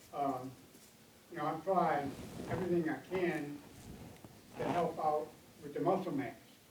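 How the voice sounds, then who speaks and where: A man talks at a moderate pace. Audible room echo and noticeable background noise fill the recording. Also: fairly high pitch for a man, fairly even intonation. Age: 80s+. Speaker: audience member asking questions. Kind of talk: Q&A at a health panel. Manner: halting.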